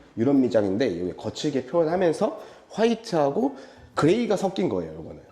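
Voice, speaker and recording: A fairly high-pitched man talks at a fairly quick pace, with very wide pitch swings. His tone is dark and mellow, with vocal fry. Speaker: interior design company head giving site tour. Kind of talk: site walkthrough presentation. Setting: on location at a hair salon.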